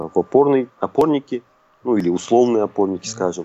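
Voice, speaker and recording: A man talks with ordinary pitch variation. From Kazakhstan, Almaty. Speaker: football fan. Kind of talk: casual chat. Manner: hesitant with fillers.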